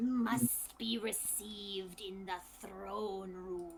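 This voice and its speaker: A raspy, put-on character voice, female-sounding and medium in pitch, at a very slow pace over clear background noise. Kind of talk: choppy, broken speech.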